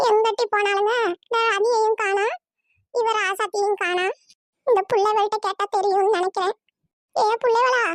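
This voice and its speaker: Doing a cartoonish character voice at an extremely high pitch, a woman speaks at a fairly slow pace with monotone, flat intonation and very even loudness, in a dry, close sound with no echo. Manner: grumbling.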